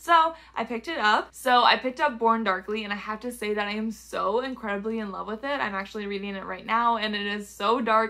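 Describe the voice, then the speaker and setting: A woman with a fairly high pitch speaks at a fairly quick pace while background noise is noticeable. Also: ordinary pitch variation, hardly any pauses. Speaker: booktuber. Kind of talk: casual book haul vlog.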